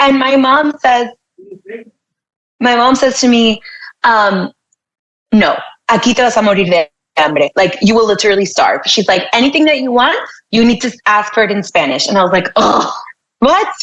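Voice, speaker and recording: Speaking with an American accent at a moderate pace, a woman uses lively intonation, a fairly high pitch, very even loudness and long, frequent pauses. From Miami, Florida. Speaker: tech executive and podcast host. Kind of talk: interview conversation. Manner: casual, filler-heavy.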